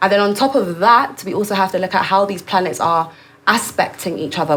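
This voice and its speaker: With noticeable background noise, a woman talks at a fairly quick pace in a London accent. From London, England, Caribbean heritage. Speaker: astrologer. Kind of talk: interview.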